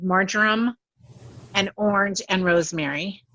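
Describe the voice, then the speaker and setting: A medium-pitched female voice with ordinary pitch variation, in a dry, close sound with no echo. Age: 60s. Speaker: skin care specialist and makeup artist. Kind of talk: class presentation. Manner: halting.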